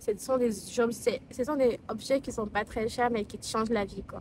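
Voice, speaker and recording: A woman with a non-native accent, fairly high pitch, fairly even intonation and a fairly slow pace. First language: not French (speaking French). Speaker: lifestyle vlogger. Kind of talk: casual vlog talk to camera. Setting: filming outdoors in the sun. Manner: hesitant, many fillers and restarts.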